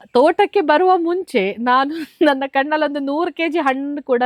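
A high-pitched woman's voice comes through in a dry, close sound with no echo. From coastal Karnataka, Kundapura taluk. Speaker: farmer. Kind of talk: interview.

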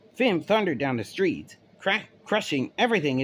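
Reading done in a natural voice, nothing more

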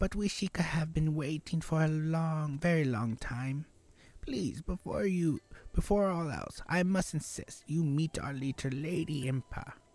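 In a put-on character voice, a man with a fairly high pitch speaks at a fairly slow pace in a dry, close sound with no echo. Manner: polite, reverent.

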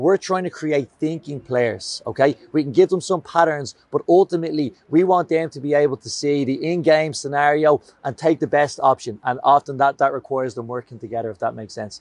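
Here a man speaks with ordinary pitch variation. The background is quiet and the sound is dry, with no echo. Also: fairly quick pace. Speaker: sports coach. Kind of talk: coaching workshop talk. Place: open country.

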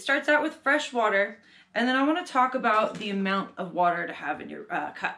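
A woman's bright, sharp tone comes through at a moderate pace. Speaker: art teacher. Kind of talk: tutorial. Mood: calm, friendly. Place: home room. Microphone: camera far.

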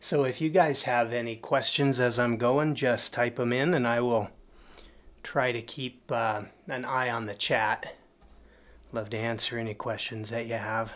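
A man talks at a fairly slow pace with an American accent. His intonation stays fairly even. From Colorado, USA. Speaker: oil painter. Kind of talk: live painting demonstration. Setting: studio. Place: studio.

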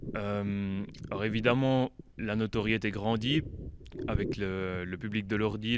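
A dry sound with no echo, plus noticeable background noise. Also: man. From French-speaking Switzerland. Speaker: metal band member. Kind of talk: band interview. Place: hall. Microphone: handheld.

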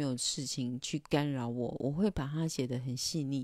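Recorded dry with no echo against a quiet background, a woman speaks in a dark, mellow tone. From Taiwan. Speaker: illustrator and livestreamer; livestreamer. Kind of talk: casual livestream monologue. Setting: livestream. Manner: hesitant, many filler sounds. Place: home room. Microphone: handheld.

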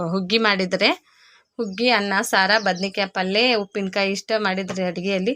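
In a North Karnataka accent, a woman speaks at medium pitch with monotone, flat intonation and very even loudness. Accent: north Karnataka Kannada dialect. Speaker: village vlogger and tailor. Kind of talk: casual vlog narration.

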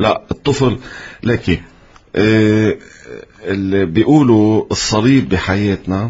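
A man's very slow, somewhat breathy voice at a fairly low pitch, with ordinary pitch variation and long, frequent pauses. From Lebanon. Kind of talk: interview. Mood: calm, earnest preaching tone. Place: studio. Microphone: studio mic.

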